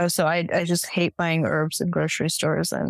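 Recorded with a dry, close sound and no echo, a woman speaks at a moderate pace in a Californian accent. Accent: Californian American. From US, San Francisco Bay Area. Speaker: nonprofit fundraising and communications director. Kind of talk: casual interview.

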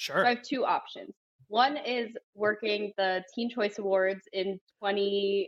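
The voice carries an American accent. It moves at a very slow pace. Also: woman, fairly high pitch for a woman, ordinary pitch variation. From South Florida. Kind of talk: casual chat.

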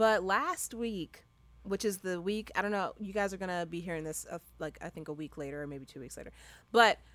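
Over a silent background in a very clean recording, a woman talks fairly quickly at a medium pitch, animated in tone, with ordinary pitch variation and big swings in loudness. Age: 20s. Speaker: podcast host. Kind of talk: casual chat.

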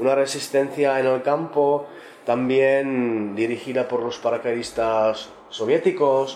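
A fairly high-pitched male voice in a Czech accent, fairly slow and monotone with flat intonation, over noticeable background noise. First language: Czech (speaking Spanish). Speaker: translator and journalist. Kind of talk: round-table discussion. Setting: bookshop event with audience.

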